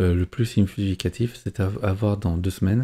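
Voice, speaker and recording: Dark and mellow in tone, a man's somewhat breathy voice sits at a fairly low pitch. He keeps a moderate pace with fairly even intonation. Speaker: YouTuber commenting on polls. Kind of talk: video commentary on poll data. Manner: hesitant, many fillers.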